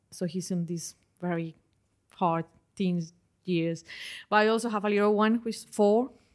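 The speaker has a Spanish accent and a moderate pace. The recording is very clean and the background silent. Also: woman. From Colombia. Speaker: environmental health researcher. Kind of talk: interview.

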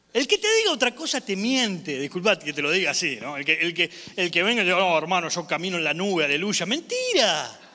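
A man's high voice with an Argentine accent, very fast with hardly any pauses, lively in intonation, over noticeable background noise. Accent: Argentine Spanish (voseo). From Argentina. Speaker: evangelist preacher. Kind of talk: sermon. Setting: church. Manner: animated.

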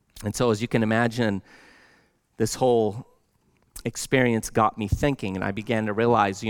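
A man with an American accent and a normal speaking voice, fairly low in pitch, with fairly even intonation at a fairly quick pace on a very clean recording with a silent background. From Lebanon until age four, then US. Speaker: pastor. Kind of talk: sermon. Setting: church.

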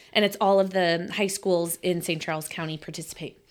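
A woman with an ordinary speaking voice, fairly low in pitch, with ordinary pitch variation. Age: 40s. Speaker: business owner. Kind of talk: casual chat.

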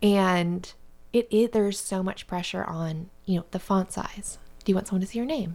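A woman's ordinary speaking voice, at a moderate pace and with ordinary pitch variation. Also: medium pitch for a woman. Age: 30s. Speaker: book podcast co-host. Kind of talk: casual chat.

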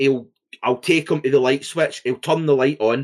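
A man with a fairly high pitch and a Scottish accent. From Scotland. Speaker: podcast co-host. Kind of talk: casual chat. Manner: reactive, animated, outbursty.

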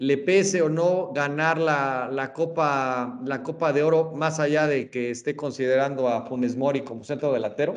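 Fairly high-pitched, a man talks with fairly even intonation and hardly any pauses. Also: moderate pace. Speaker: podcast host. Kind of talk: casual chat. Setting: studio.

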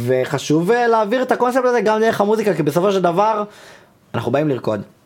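A man talks with very wide pitch swings. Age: 20s. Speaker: trance music producer. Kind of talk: casual chat. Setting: studio.

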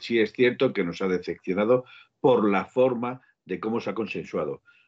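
Using a normal speaking voice, a man talks fairly quickly, his intonation lively. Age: 50s. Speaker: football podcast co-host. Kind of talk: casual chat.

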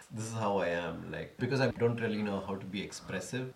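This man talks at a fairly quick pace with a slight Indian accent. His intonation stays fairly even. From India, Bengaluru. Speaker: stand-up comedian. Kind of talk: casual chat. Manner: calm and measured.

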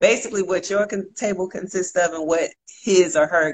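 Animated in tone, a woman talks at a moderate pace. Her pitch sits in the medium range. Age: 30s. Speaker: livestream host. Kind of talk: casual chat. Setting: live video stream.

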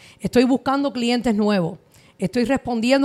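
A woman with a high pitch and ordinary pitch variation is heard on a very clean, dry, close recording with no echo and a silent background. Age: 40s. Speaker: mortgage advisor. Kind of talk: interview.

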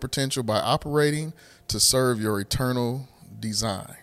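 Lively intonation marks this man's speech, delivered at a fairly quick pace. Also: very clean recording, silent background. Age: 40s. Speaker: podcast host and church member. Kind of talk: casual faith conversation. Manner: animated.

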